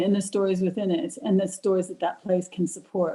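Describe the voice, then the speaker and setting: A woman with an American accent talks at a fairly quick pace and medium pitch, her dark, mellow tone somewhat breathy. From United States. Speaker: audience participant. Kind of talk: panel discussion comment. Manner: halting, self-correcting.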